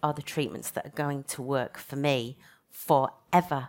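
A woman with a Yorkshire accent and a very deep, low pitch, flat monotone delivery at a moderate pace, on a very clean recording with a silent background. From Leeds, northern England. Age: 40s. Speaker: physiotherapy lecturer and cancer patient. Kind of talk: panel talk at a conference.

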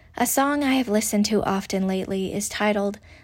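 The voice is a woman's. It has a somewhat breathy sound. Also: very clean recording, silent background. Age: 30s. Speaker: magazine columnist and homeschooling mother. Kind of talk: reading aloud own essay.

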